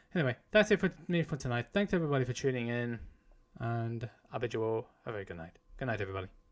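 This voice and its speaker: A man at a very fast pace with a British accent, medium pitch and lively intonation. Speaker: gaming streamer. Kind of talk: live stream sign-off.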